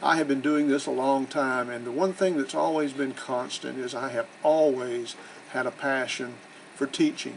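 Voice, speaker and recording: With a Southern US accent, a man speaks at a medium pitch. His pace is moderate and his pitch variation ordinary. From US South. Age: 60s. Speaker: real estate investor and educator. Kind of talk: promotional self-introduction. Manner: casual, conversational.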